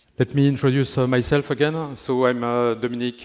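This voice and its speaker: A man with a French accent at a medium pitch and moderate pace, intonation fairly even. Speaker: network engineering manager. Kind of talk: conference talk.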